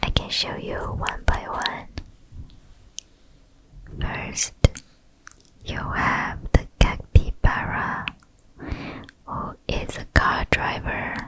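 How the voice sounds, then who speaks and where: Someone whispers in a gentle tone at a very slow pace, with long, frequent pauses. Noticeable background noise can be heard. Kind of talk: ASMR roleplay, comforting soft-spoken show and tell. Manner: soft-spoken, gentle, comforting.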